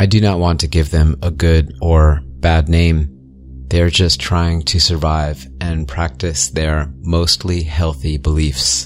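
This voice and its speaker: Over noticeable background noise, a man speaks very slowly in a very deep, low pitch with fairly even intonation. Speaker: horror story narrator. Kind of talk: ghost story telling, first-person scary narration. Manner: hushed, eerie, slow and suspenseful; earnest, conspiratorial, ominous.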